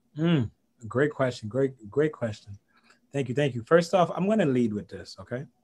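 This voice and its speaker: Lively intonation from a man at medium pitch, somewhat breathy. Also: moderate pace. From Haiti. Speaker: business coach and network marketer. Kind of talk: interview. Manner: animated.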